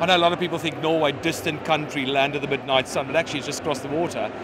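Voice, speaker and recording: Noticeable background noise surrounds a man's voice. He talks at a very fast pace with a fairly high pitch. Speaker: ski resort representative. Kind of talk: interview. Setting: trade show stand. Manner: animated.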